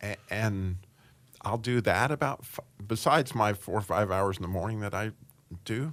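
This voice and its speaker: A man with a fairly low pitch talks at a moderate pace, leaving long, frequent pauses. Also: ordinary pitch variation. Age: 60s. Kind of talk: casual interview chat.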